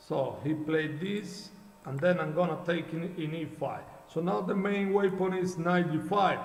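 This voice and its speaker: A man with a high voice and fairly even intonation speaks at a fairly slow pace, with audible room echo and noticeable background noise. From Cuba. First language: Spanish. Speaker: chess coach and streamer. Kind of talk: live game commentary. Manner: halting.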